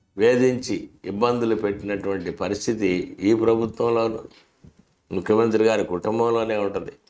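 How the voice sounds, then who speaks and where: The man's medium-pitched voice stays in a monotone, flat intonation throughout. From Andhra Pradesh, India. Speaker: political commentator. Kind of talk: political commentary monologue. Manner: sarcastic. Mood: critical, sarcastic. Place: studio. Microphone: lapel.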